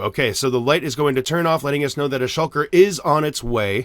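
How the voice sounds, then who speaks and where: On a very clean recording with a silent background, a man with a medium-pitched voice speaks in an animated tone with ordinary pitch variation. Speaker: Minecraft YouTuber. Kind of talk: tutorial. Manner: fast.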